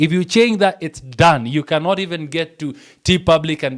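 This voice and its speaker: A man with a Kenyan accent speaks at a fairly high pitch with lively intonation. The recording is very clean, the background silent. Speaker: print on demand tutor. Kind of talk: screen-share tutorial. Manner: fast; halting, many fillers and restarts.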